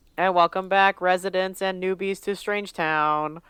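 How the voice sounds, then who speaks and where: Putting on a character voice, a woman speaks at a moderate pace in a medium pitch with a monotone, flat intonation, on a very clean recording with a silent background. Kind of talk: formal, announcer-like newsreel. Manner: theatrical, proclaiming.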